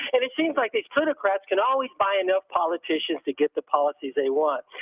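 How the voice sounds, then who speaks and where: A man with a high-pitched voice and an American accent, very wide pitch swings, very fast pace. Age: 70s. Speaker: caller, former city council candidate. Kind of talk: call-in radio comment. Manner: halting, many fillers.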